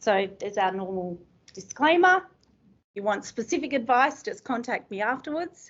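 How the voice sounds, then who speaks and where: A woman in an Australian accent speaks at a moderate pace, her high pitch moving in very wide swings. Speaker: estate planning lawyer. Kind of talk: seminar presentation. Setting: room with live audience.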